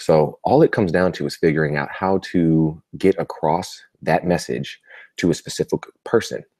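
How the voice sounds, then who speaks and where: Quiet and at a moderate pace, a man speaks. The sound is dry and close, with no echo. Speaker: marketing coach. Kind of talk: live webinar recap. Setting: live video broadcast from a family home. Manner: quiet, keeping voice down.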